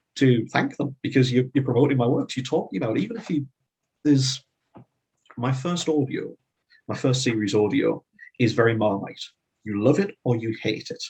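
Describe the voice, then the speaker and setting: A man with a Northeast English accent, medium pitch, ordinary pitch variation, a somewhat breathy sound, a fairly quick pace and long, frequent pauses. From Northeast England. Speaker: fantasy author. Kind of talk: interview.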